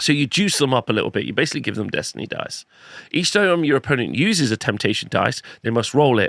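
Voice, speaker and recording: A man talks at a very fast pace in a fairly high pitch, his intonation lively and the sound dry and close with no echo. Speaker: wargaming video host. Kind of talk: game rules review. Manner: casual, conversational.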